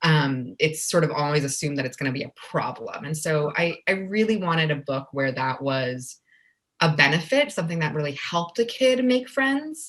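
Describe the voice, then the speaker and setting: A woman with a Spanish accent speaks at a very deep, low pitch. Her voice moves in very wide pitch swings. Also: moderate pace. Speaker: children's book author. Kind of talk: casual interview.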